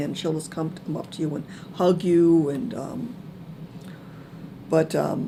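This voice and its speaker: The speaker is soft-spoken and talks at a moderate pace. The intonation stays fairly even. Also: woman. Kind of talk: personal testimony talk. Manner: hesitant, many fillers.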